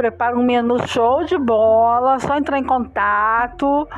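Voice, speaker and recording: A woman's high voice is heard with music going in the background. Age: 40s. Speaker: podcast co-host. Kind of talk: casual chat.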